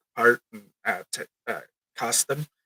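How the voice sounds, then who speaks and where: The recording is dry and close, with no echo. A man speaks in a bright, sharp tone. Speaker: live streamer. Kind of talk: live stream commentary. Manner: halting, many fillers.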